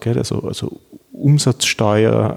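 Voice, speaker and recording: Recorded with a dry, close sound and no echo, a man talks at a very slow pace with ordinary pitch variation. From Austria, Vienna. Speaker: law professor. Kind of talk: interview. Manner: hesitant, many fillers and repetitions.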